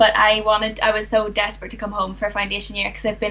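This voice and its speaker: A woman in a Northern Irish accent at a very fast pace, over noticeable background noise. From Northern Ireland. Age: 20s. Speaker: dentistry graduate. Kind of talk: casual interview chat.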